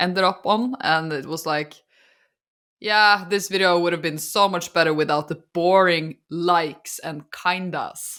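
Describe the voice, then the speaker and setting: With a Norwegian accent, a woman speaks in a bright, sharp tone with fairly even intonation. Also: fairly slow pace. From Norway. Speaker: podcast co-host and artist YouTuber. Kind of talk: casual chat. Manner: frequent fillers like and kinda.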